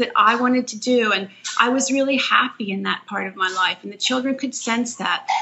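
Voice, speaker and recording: Noticeable background noise accompanies speech at a moderate pace with ordinary pitch variation. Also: woman. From Philadelphia, US. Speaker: author and mother of eight. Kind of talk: podcast interview.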